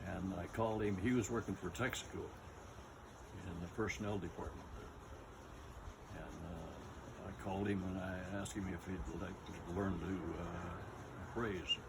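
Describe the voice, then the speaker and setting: A man with a very deep, low pitch speaks over noticeable background noise. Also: fairly even intonation, fairly slow pace. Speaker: retired real estate appraiser. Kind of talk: interview answer. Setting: outdoors.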